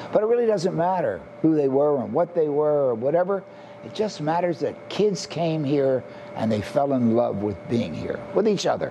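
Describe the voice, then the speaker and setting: A fairly high-pitched man delivers lively intonation at a moderate pace while noticeable background noise plays. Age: 80s+. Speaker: summer camp founder. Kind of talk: interview testimony.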